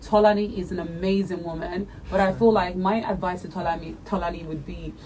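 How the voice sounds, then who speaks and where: A woman's animated, medium-pitched voice at a fairly quick pace, with audible room echo and noticeable background noise. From Nigeria, Imo State. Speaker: reality TV contestant. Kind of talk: interview.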